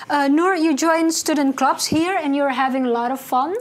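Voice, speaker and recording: A woman speaks in a high pitch at a moderate pace. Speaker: student TV co-host. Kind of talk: casual interview. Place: studio.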